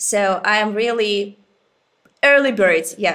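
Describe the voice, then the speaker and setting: Very slowly, a woman speaks at a fairly high pitch in a bright, sharp tone. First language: Ukrainian or Russian. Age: 20s. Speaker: museum researcher and guide. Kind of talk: interview. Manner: animated; halting.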